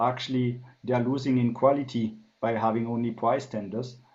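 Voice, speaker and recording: In a room with audible echo, a man speaks at medium pitch and a moderate pace with fairly even intonation. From France. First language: French. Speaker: business consultant. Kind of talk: interview. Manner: hesitant, many fillers.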